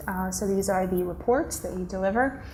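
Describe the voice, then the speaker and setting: With audible room echo around her, a woman with an American accent talks at a moderate pace with ordinary pitch variation. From United States. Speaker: corporate executive. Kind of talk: conference keynote.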